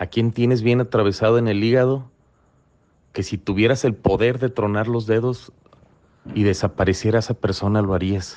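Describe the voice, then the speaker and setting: With a Mexican accent, a man speaks in a dark, mellow tone at a fairly low pitch, using fairly even intonation, a moderate pace and long, frequent pauses. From Mexico, Colima. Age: 40s. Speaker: recovery testimony speaker. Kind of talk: testimony. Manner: halting, frequent repetitions.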